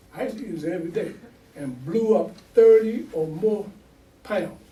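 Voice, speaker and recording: A high-pitched man speaks amid noticeable background noise and audible room echo. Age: 70s. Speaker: imam. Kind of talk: sermon. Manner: animated.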